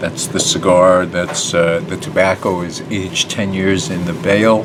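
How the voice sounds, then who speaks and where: There is noticeable background noise as a man talks at a fairly slow pace. His pitch is very deep and low, and his intonation is fairly even. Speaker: cigar reviewer. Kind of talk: product review. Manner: casual, many fillers. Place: shop. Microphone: webcam.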